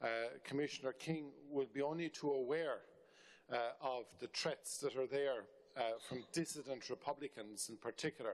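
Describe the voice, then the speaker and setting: A man with a fairly high pitch speaks in an Irish accent at a moderate pace. His intonation is fairly even, broken by long, frequent pauses. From Ireland. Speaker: member of parliament. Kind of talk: parliamentary committee question. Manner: halting with fillers.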